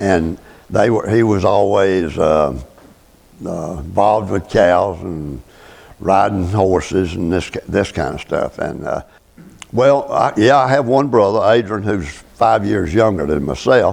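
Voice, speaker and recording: With a Southern US accent, a man speaks at a fairly slow pace in a fairly low pitch, his intonation lively. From US South, north Florida (Gadsden County). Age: 80s+. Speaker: retired farmer. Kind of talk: oral history interview. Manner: halting.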